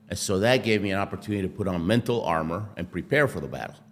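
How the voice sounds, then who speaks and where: A man's unremarkable speaking voice with an American accent, fairly low in pitch, with lively intonation at a fairly quick pace. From Argentina, then US (Houston). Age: 60s. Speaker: Olympic athlete, motivational speaker. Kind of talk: interview.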